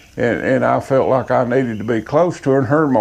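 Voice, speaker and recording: A man with an Appalachian accent talks very fast at a medium pitch, with ordinary pitch variation. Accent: Appalachian Southern US. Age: 60s. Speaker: sawmill operator. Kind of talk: casual storytelling monologue.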